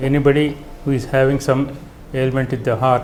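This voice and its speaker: A man is speaking while music plays behind him. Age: 70s. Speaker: retired engineer. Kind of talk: patient testimonial.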